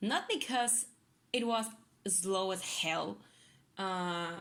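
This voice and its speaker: Speaking at a very slow pace, a woman uses a non-native accent. Her pitch is medium, with ordinary variation. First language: not English. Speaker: gaming youtuber. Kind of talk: gameplay commentary. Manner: halting, many fillers.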